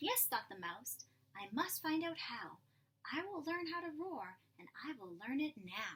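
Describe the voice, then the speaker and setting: A woman does a put-on character voice, high in pitch. She speaks at a fairly slow pace with very wide pitch swings. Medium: read story. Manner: timid, squeaky.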